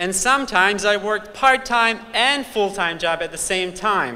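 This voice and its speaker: Raised and projected, a man's voice in a Bosnian accent carries a bright, sharp tone and lively intonation at a moderate pace, with audible room echo. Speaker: student speaker at graduation. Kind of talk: commencement speech. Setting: convention center stage with audience.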